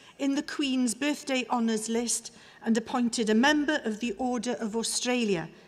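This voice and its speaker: Speaking with a Welsh accent, a woman talks at a moderate pace. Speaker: university orator presenting honorary fellow. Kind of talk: ceremonial citation speech. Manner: formal.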